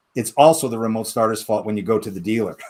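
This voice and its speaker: The voice belongs to a man. He varies his pitch in an ordinary way. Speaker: product presenter for a car electronics brand. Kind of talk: product presentation. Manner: fast.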